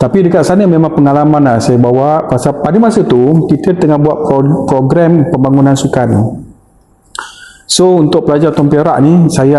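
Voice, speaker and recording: Through audible room echo and noticeable background noise, a man with a fairly high pitch speaks at a moderate pace with ordinary pitch variation. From Malaysia, Muar, Johor. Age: 50s. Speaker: secondary school teacher. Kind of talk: casual interview chat.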